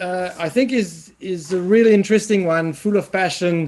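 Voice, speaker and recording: With a Swiss French accent, the speaker talks at a moderate pace with ordinary pitch variation. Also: man. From French-speaking Switzerland. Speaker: professor. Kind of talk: webinar presentation. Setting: online webinar. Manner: halting, with fillers and repetitions.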